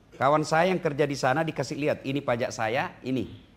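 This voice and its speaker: Someone with a plain, everyday voice talks at a moderate pace with ordinary pitch variation. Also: man. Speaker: Islamic preacher. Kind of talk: Islamic sermon (tausiyah) to an audience. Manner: humorous, lively preaching style.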